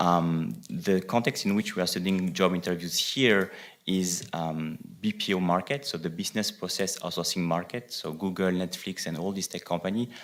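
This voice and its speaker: A man with a French accent, very deep and low in pitch, at a moderate pace with ordinary pitch variation, on a very clean recording with a silent background. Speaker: economics researcher. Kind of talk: conference presentation. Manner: hesitant, many fillers.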